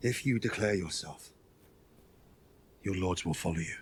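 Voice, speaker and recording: In a put-on character voice, a man speaks at a moderate pace with a fairly low pitch. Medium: short film. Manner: formal, smooth.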